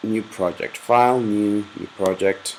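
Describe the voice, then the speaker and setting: The speaker talks at a fairly slow pace in a Spanish accent with monotone, flat intonation. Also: man. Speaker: software tutorial maker. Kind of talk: tutorial. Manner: casual, with fillers and hesitations.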